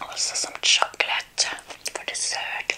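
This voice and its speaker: A soft-spoken woman whispering at a fairly slow pace, with light background noise. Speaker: ASMR creator. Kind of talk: soft-spoken ASMR eating chat. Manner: soft ASMR whisper while eating. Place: home room.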